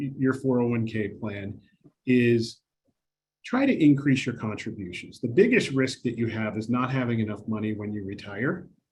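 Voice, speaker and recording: A somewhat breathy male voice. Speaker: investment adviser presenting a retirement webinar. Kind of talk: webinar presentation. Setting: webinar. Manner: fast.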